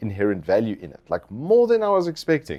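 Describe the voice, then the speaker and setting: Music plays in the background as a man speaks. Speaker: tech reviewer. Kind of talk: product review. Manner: animated.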